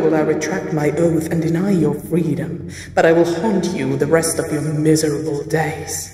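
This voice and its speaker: In a put-on character voice with a menacing tone, the speaker uses a middle pitch and a moderate pace, with a clear echo. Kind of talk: villain melodrama. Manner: imperious, menacing.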